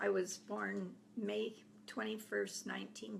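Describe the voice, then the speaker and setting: Noticeable background noise runs under the clip. A woman speaks at a very slow pace. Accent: American. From Idaho, US. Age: 80s+. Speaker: grandmother telling her life story. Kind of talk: oral history reminiscence.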